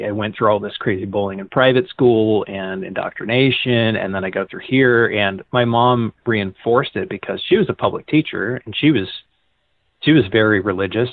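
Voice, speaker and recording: With an ordinary speaking voice, a man speaks at a moderate pace and medium pitch, showing ordinary pitch variation and big swings in loudness. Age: 30s. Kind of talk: casual chat. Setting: phone call.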